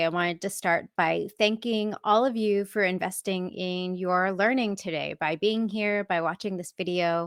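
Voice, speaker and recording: Speaking at a moderate pace with an American accent, a woman has an unremarkable speaking voice, a medium pitch and ordinary pitch variation. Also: dry, close sound with no echo. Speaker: software architect and tech evangelist. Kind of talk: conference talk.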